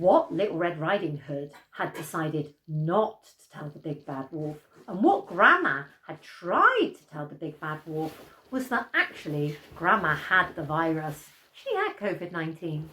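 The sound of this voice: A woman speaks low and fairly slowly, with big pitch swings. Her tone is bright and sharp, with a slightly husky edge.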